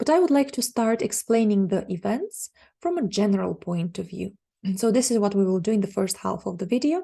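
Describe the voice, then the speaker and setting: A woman speaks in a Bulgarian accent with a dark, mellow tone. Her voice is somewhat breathy. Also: quiet background. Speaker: astrologer. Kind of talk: monologue forecast.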